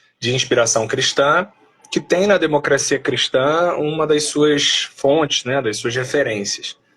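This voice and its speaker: The clip carries an ordinary speaking voice with ordinary pitch variation. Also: man. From Brazil, Rio de Janeiro. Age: 30s. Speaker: philosopher and political movement leader. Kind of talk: live stream interview.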